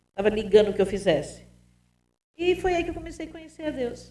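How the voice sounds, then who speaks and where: Her dark, mellow tone carries very wide pitch swings as the woman speaks at a fairly quick pace. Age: 60s. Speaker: pastor. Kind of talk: testimony.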